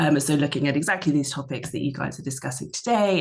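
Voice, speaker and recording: Over noticeable background noise, a woman with a very deep, low pitch talks at a very fast pace with fairly even intonation in a British accent. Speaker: media researcher. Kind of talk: panel discussion.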